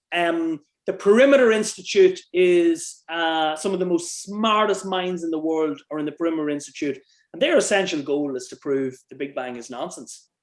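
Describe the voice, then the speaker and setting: Speaking with an Irish accent at a moderate pace, a man with a high pitch shows ordinary pitch variation and big swings in loudness. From Ireland. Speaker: author and researcher. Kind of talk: interview conversation.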